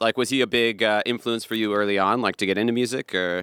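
Speaking at a very fast pace, a man with a medium-pitched voice has a bright, sharp tone in a dry, close sound with no echo. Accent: West Coast American. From US Pacific Northwest, Seattle area. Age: 30s. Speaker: podcast host and musician. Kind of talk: casual chat.

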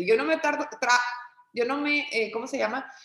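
A woman's high-pitched voice at a moderate pace. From Mexico, Torreón, Coahuila. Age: 30s. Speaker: entrepreneur and business consultant. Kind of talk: casual interview conversation.

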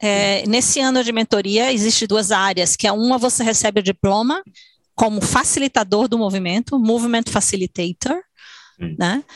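With an unremarkable speaking voice, a woman talks at a moderate pace and fairly high pitch, her loudness very even, in a dry, close sound with no echo. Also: ordinary pitch variation. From Salvador, Bahia, Brazil. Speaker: dancer and choreographer. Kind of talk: interview.

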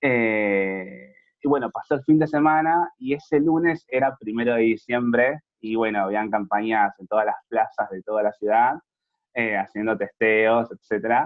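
Fairly slow speech from a man, medium in pitch and showing ordinary pitch variation. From Argentina, Buenos Aires province (Moreno). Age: 20s. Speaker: HIV youth network activist. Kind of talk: interview.

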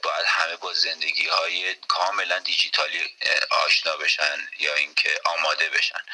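A man talks at a fairly slow pace. There is noticeable background noise behind him. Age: 30s. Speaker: basketball coach and architect. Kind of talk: radio interview. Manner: halting.

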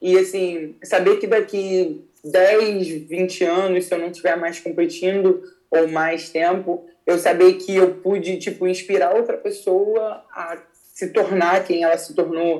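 Talking at a very slow pace, a woman holds a medium pitch in a flat, monotone delivery. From Rio de Janeiro, Brazil. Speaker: jiu-jitsu athlete. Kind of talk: casual interview.

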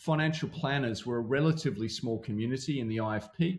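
Some breathiness colors this man's voice. His pitch varies in an ordinary way. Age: 50s. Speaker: financial planning consultant and founder. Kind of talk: podcast interview. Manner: animated.

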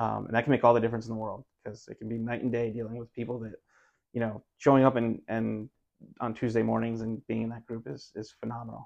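This man speaks very fast in an American accent, at a medium pitch. His intonation is monotone and flat, with big swings in loudness. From southeastern Connecticut (Waterford). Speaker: youth soccer coach, former attorney. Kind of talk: casual chat.

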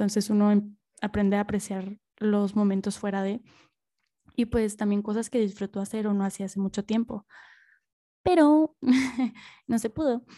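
With a dark, mellow tone and medium pitch, a woman speaks at a moderate pace with fairly even intonation and long, frequent pauses, the sound dry and close with no echo in a very clean recording with a silent background. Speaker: podcast host. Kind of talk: casual monologue. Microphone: new microphone, first recording with it.

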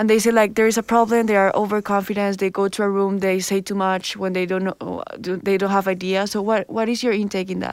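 A woman's medium-pitched voice with a Spanish accent, fairly quick and with hardly any pauses, monotone and flat, on a very clean recording with a silent background. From Colombia. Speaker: student podcast host. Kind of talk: interview.

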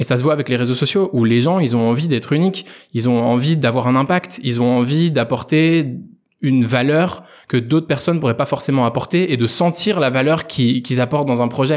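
A man talks in a normal speaking voice, medium in pitch with ordinary pitch variation, on a very clean recording against a silent background. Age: 20s. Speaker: entrepreneur. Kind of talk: interview. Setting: guest's office.

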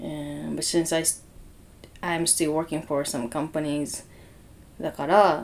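Her pitch very deep and low, a woman speaks at a very slow pace with fairly even intonation and long, frequent pauses. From Okinawa. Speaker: digital marketer. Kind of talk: casual chat.

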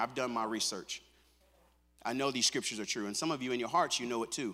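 This man talks at a very fast pace in a bright, sharp tone. His voice carries vocal fry. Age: 50s. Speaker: pastor. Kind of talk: sermon.

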